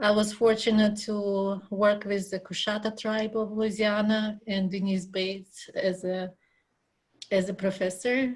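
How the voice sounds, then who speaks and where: At a fairly slow pace, a woman with a medium pitch and a Russian accent speaks in a somewhat breathy, monotone, flat way. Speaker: graduate student. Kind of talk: casual chat. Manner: halting.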